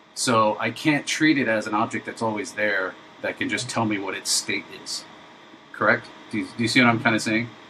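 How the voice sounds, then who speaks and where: Fairly quickly and with fairly even intonation, a man at medium pitch talks through noticeable background noise. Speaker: indie game developer streamer. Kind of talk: live coding stream tutorial. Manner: halting, many fillers.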